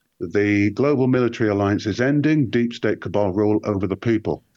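A man with a normal speaking voice talks at a moderate pace, fairly low in pitch with ordinary pitch variation, against a quiet background. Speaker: guest researcher. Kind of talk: casual chat. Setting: remote call.

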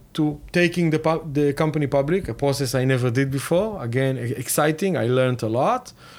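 A man's fairly high voice in an Israeli accent, fairly quick, with ordinary pitch variation. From Israel, Tel Aviv. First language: Hebrew. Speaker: tech company co-founder. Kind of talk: interview. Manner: hesitant, many fillers.

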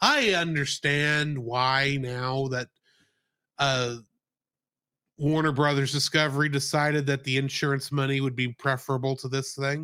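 A bright, sharp tone with monotone, flat intonation at a fairly slow pace, on a very clean recording with a silent background. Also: man, fairly high pitch for a man. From US South. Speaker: podcast co-host. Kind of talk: casual chat.

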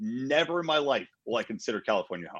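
In an American accent, a man with a fairly high, bright, sharp voice and vocal fry makes very wide pitch swings against a quiet background. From Pennsylvania. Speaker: libertarian activist. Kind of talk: casual interview.

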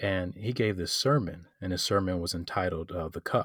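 A man speaks quickly in an American accent. His very deep, low voice is somewhat breathy. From Detroit, Michigan. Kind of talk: casual interview. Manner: hesitant, many fillers.

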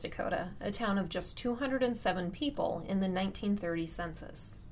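An unremarkable speaking voice with ordinary pitch variation. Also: woman. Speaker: podcast host narrator. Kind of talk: scripted narration.

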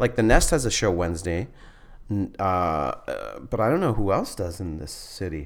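A plain, everyday voice from a man with a Canadian accent, fairly low in pitch, with lively intonation at a moderate pace. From northern Manitoba, Canada. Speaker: stand-up comedian and school teacher. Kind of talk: casual chat.

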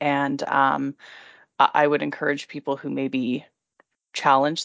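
A woman with a Canadian accent talks at a moderate pace. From Alberta, Canada (Red Deer). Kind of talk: interview. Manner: hesitant with fillers.

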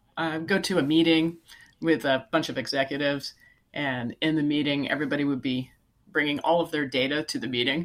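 Over a silent background in a very clean recording, a woman with a Californian accent speaks fairly quickly at a very deep, low pitch. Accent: Californian American English. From California, Silicon Valley. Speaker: software company CEO. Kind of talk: interview.

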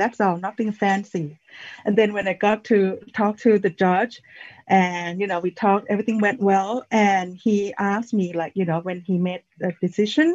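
A somewhat breathy woman at a medium pitch and moderate pace, dry and close with no echo. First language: not English. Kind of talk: personal testimony. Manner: halting.

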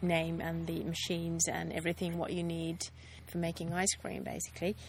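A woman talks with a Finnish accent. Her pace is moderate. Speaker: ice cream business owner. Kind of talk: casual interview. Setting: ice cream factory. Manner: halting.

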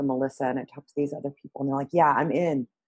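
This woman's voice has a very deep, low pitch and fairly even intonation. The sound is dry and close, with no echo. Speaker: podcast host. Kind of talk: casual chat.

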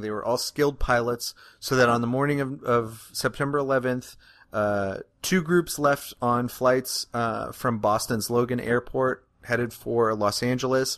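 Over a quiet background, a man speaks in a normal speaking voice at medium pitch and a moderate pace, with fairly even intonation. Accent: American. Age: 30s. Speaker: podcast host, historian. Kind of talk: comedic casual chat.

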